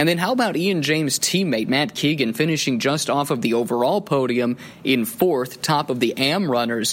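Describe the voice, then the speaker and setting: In an unremarkable speaking voice, a man with a fairly high pitch talks at a moderate pace with lively intonation, very even loudness and hardly any pauses. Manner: fluent, building storyteller pace with rising drama toward the final-lap pass attempt.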